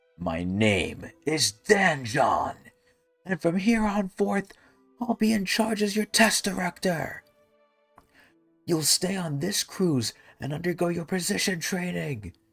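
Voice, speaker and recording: Shouting in an angry tone, a man uses a high-pitched put-on character voice with lively intonation, speaking at a fairly slow pace with long, frequent pauses while faint music plays in the background. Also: dry, close sound with no echo. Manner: angry, yelling.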